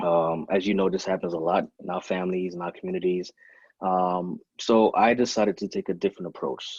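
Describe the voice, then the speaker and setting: Over a quiet background, a man with a Caribbean accent talks at a fairly quick pace in a very deep, low pitch, the sound dry and close with no echo. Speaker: fitness trainer and gym owner. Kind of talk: podcast interview.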